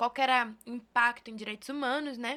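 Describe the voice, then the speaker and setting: A woman with a São Paulo accent speaks at a fairly quick pace in a bright, sharp tone. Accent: São Paulo (paulista). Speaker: researcher, co-director of a digital rights institute. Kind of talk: podcast interview.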